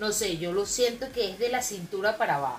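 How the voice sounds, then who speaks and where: Amid noticeable background noise, a woman with a Venezuelan accent speaks with very wide pitch swings. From Venezuela, Maracay. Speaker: podcast co-host. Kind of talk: casual chat.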